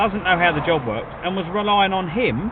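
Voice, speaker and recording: A man with a southeast English accent speaks at a high pitch against noticeable background noise. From England. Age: 40s. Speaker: food delivery driver streamer. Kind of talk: casual live-stream chat.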